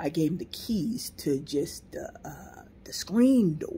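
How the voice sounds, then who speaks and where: Her voice is fairly low for a woman, somewhat breathy, with a dark, mellow tone and lively intonation. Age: 60s. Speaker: landlord and video host. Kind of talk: casual storytelling monologue. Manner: animated.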